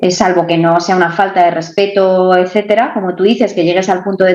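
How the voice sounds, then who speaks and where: A woman at a moderate pace, medium-pitched, in a Madrid accent. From Madrid, Spain. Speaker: online entrepreneur. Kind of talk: interview answer.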